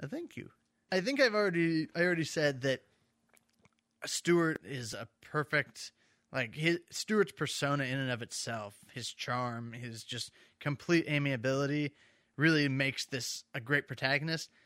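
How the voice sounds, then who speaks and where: In a very clean, dry, close recording with a silent background and no echo, a man with a fairly high pitch and a bright, sharp tone talks at a moderate pace, with ordinary pitch variation and big swings in loudness. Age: 30s. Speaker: film podcast host. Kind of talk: casual banter about a film. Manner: casual, jokey, conversational.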